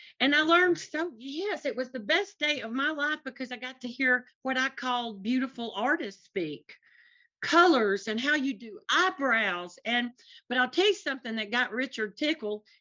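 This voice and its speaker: A woman with a strong Tennessee accent talks at a moderate pace in a high voice with lively intonation. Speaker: artist's wife. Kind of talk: casual chat. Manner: animated.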